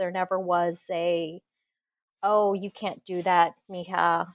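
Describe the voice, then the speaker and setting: Recorded very cleanly against a silent background, a woman speaks at a fairly low pitch in a dry, close sound with no echo. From Corpus Christi, Texas. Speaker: aerospace engineer. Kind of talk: interview chat. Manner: expressive, animated.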